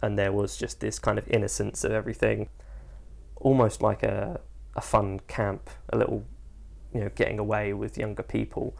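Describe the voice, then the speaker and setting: A man at a moderate pace, long and frequent pauses throughout, on a very clean recording with a silent background. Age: 20s. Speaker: actor. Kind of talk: interview monologue.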